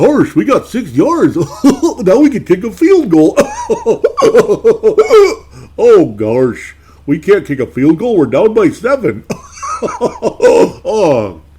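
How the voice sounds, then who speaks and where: Putting on a character voice, a man speaks in a high pitch at a very slow pace, with long, frequent pauses. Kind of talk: comic, exaggerated. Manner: goofy, bumbling.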